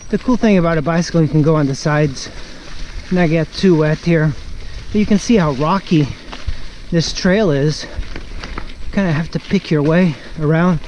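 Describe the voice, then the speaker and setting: Noticeable background noise sits under speech at a moderate pace, broken by long, frequent pauses. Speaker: mountain biking vlogger. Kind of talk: casual vlog narration while riding. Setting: outdoors on a trail, riding a bike. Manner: loud; excited exclamations.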